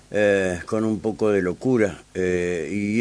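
A man has an unremarkable speaking voice with a fairly low pitch and fairly even intonation. The background is quiet. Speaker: radio host. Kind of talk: radio interview. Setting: radio studio.

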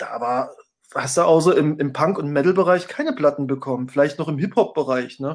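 A man at a fairly quick pace, a normal speaking voice with ordinary pitch variation, on a very clean recording with a silent background. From former East Germany. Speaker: music blog founder and former concert promoter. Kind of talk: casual chat.

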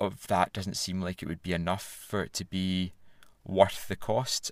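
This man speaks with a very deep, low pitch. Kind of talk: casual chat.

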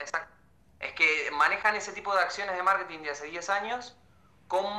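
The speaker talks at a moderate pace in a Rioplatense accent. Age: 20s. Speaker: film student. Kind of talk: casual chat.

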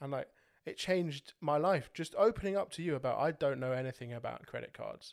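At a fairly quick pace, a man speaks in a very clean recording with a silent background. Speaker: podcast host. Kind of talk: casual chat.

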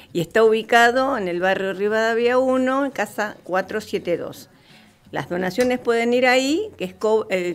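There is music in the background as a woman speaks at a fairly high pitch. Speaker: community soup kitchen organizer. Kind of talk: radio interview. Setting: radio studio.

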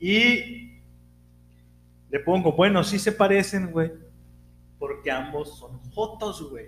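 With long, frequent pauses and big swings in loudness, a man speaks very slowly in a high voice with ordinary pitch variation. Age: 40s. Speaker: podcast co-host. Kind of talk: casual chat.

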